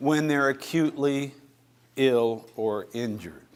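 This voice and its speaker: In a very clean recording with a silent background, a man with an American accent uses a plain, everyday voice, fairly high in pitch with ordinary pitch variation. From western US. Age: 60s. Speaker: professor of medicine. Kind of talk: lecture.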